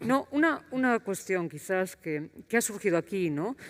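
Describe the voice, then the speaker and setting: At a fairly slow pace, a woman talks in a medium pitch on a very clean recording with a silent background. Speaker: university vice-rector. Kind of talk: panel debate. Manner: soft-spoken; hesitant.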